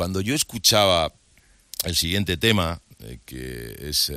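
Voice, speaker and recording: With vocal fry and a bright, sharp tone, a man speaks at a fairly slow pace using lively intonation. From Madrid, Spain. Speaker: TV presenter. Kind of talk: casual interview chat.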